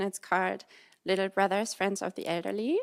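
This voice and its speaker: A woman with a German accent talks at a very fast pace and a medium pitch. The recording is very clean, with a silent background and a dry, close sound with no echo. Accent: German accent, noticeable. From Germany. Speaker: audience member. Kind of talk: question to a talk show host. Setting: TV studio with audience.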